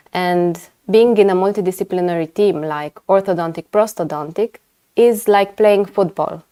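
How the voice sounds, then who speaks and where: A woman with a Romanian accent speaks in a dark, mellow tone at medium pitch. Her pace is moderate, her intonation fairly even, and the sound is dry and close with no echo. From Romania, Timișoara (western). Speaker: orthodontist and lecturer. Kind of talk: webinar lecture. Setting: online webinar. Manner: hesitant, many fillers.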